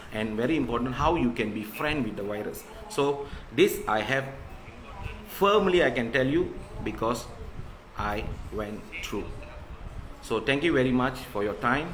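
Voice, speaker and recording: Over noticeable background noise and audible room echo, a man talks at medium pitch and a moderate pace. His intonation is lively, with long, frequent pauses. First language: not English. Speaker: covid survivor sharing his story. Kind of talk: live stream monologue. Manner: halting.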